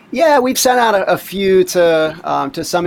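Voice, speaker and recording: With noticeable background noise behind him, a man speaks in an American accent with lively intonation. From US East Coast, Pittsburgh-born. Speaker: oceanography professor. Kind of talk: interview.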